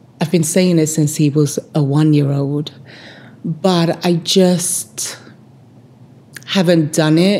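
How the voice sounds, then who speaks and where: A speaker with a London accent talks at a very slow pace. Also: woman. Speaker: vlogger. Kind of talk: personal storytelling.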